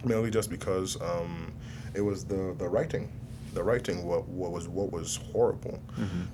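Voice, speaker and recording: A man's very deep, low voice with ordinary pitch variation at a moderate pace, amid noticeable background noise and audible room echo. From southern Nigeria. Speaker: film director. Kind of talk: interview. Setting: film festival.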